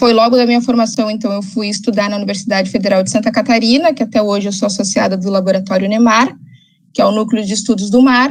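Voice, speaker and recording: Talking at a very fast pace, a woman keeps her intonation fairly even. Her voice is fairly high and somewhat breathy. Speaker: ecologist and environmental consultant. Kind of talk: lecture.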